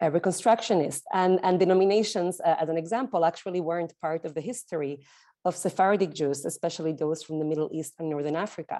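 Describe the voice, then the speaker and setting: A woman with an Argentinian accent talks at a very fast pace, her fairly low pitch showing ordinary variation. Her tone is dark and mellow, and the background is quiet. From Argentina. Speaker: sociologist. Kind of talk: lecture.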